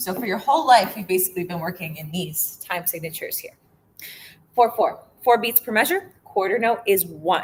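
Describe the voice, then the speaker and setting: A woman with an ordinary speaking voice and medium pitch talks at a fairly quick pace, with big swings in loudness. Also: lively intonation. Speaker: music teacher. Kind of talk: lecture. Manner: casual, filler-heavy.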